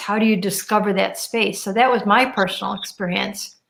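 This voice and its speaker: The speaker is a woman. She talks in a fairly high register. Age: 60s. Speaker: radio host. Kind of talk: interview conversation.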